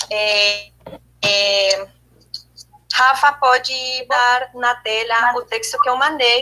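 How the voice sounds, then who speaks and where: In a non-native accent, a woman speaks with a high pitch and a bright, sharp tone. Her intonation is fairly even. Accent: foreign accent in Portuguese. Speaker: theatre study group member. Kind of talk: study group presentation. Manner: halting.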